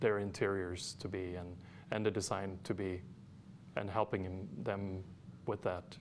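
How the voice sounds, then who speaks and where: With a Swedish accent, a man speaks at a moderate pace in a very deep, low pitch and a monotone, flat intonation. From Sweden. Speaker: architect and interior designer. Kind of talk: interview. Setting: studio.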